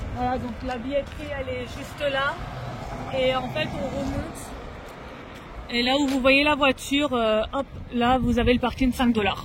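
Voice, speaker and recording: The voice is loud and moves at a fairly slow pace. Long pauses come often, and background noise is noticeable. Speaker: family vlogger. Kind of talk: travel vlog. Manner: hesitant, many fillers.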